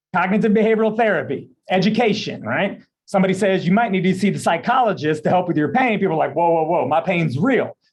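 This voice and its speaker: A man talks at a very fast pace in a high voice, with hardly any pauses. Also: ordinary pitch variation, very even loudness. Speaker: pain psychologist. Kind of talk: presentation.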